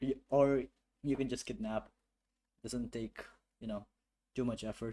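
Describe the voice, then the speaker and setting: A man speaks at a fairly slow pace with a non-native accent and fairly even intonation. His tone is dark and mellow, at a medium pitch. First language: not English. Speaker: game developer streamer. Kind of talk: live coding stream with chat. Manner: halting, many fillers.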